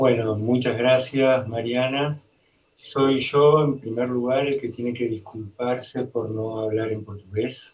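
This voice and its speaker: Very slowly, a man talks at a medium pitch with monotone, flat intonation. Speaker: music professor, lecturer. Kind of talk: answering audience question, interpreted. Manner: speaks in short chunks for interpreter.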